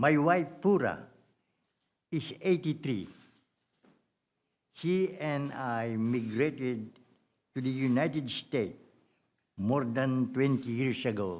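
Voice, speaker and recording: In a Filipino accent, a man talks at a very slow pace with long, frequent pauses. His pitch is medium, and his intonation is lively. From Philippines. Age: 80s+. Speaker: war veteran. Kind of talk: prepared public statement. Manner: formal.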